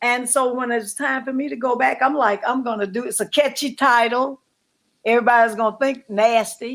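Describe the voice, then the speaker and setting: Speaking at a fairly quick pace, a woman with a high voice keeps her intonation fairly even in a very clean recording with a silent background. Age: 80s+. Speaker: singer and reality TV personality. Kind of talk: interview.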